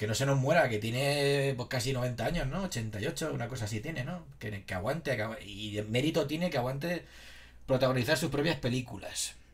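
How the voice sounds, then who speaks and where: At a fairly quick pace, a man speaks at medium pitch in a somewhat breathy voice. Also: ordinary pitch variation. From Spain, Alicante (San Vicente). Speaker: livestreamer. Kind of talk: casual chat. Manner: animated.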